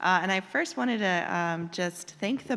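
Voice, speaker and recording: A woman with an unremarkable speaking voice. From Cherokee Nation, US. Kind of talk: formal presentation. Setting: public board meeting in auditorium.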